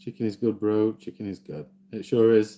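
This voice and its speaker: In a Yorkshire accent, a man talks at a fairly slow pace, his tone dark, mellow and relaxed. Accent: mild Yorkshire. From South Yorkshire, Doncaster. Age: 40s. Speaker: gaming streamer. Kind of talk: casual live-stream chat. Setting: live stream. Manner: relaxed, unhurried.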